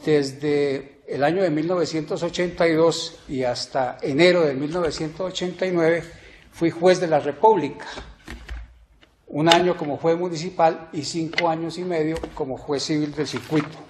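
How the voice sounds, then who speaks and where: There is audible room echo and noticeable background noise. A man speaks at a moderate pace in a fairly high voice with fairly even intonation. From Colombia, Ibagué. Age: 60s. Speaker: judicial candidate, law professor. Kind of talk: formal candidacy presentation. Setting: plenary court chamber. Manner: formal.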